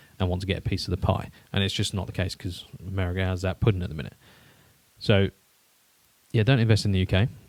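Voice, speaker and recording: A man's very deep, low voice at a very fast pace, with long, frequent pauses and fairly even intonation. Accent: British. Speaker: podcast co-host. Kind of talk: casual chat.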